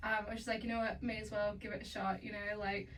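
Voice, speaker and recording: In an Australian accent, the speaker talks in a monotone, flat way, with audible room echo and noticeable background noise. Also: woman. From Australia, Melbourne. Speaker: singer-songwriter. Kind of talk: casual interview chat.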